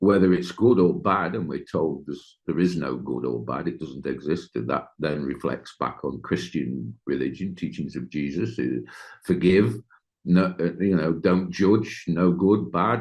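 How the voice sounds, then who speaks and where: In an English accent, a man with a very deep, low pitch speaks at a fairly slow pace with lively intonation and vocal fry. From Britain. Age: 50s. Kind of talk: interview. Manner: halting.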